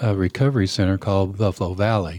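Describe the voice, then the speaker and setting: With a West Texas accent, a man talks at a fairly low pitch with ordinary pitch variation. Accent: West Texas (Southern US). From West Texas, Permian Basin. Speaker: pastor and addiction counselor. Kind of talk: interview.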